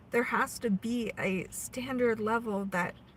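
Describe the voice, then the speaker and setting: Fairly slowly and with monotone, flat intonation, a woman speaks in an American accent. Her voice is somewhat breathy and fairly high in pitch. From US Pacific Northwest, Oregon. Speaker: spiritual livestream host. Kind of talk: spiritual live stream chat. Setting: live stream. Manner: casual, conversational.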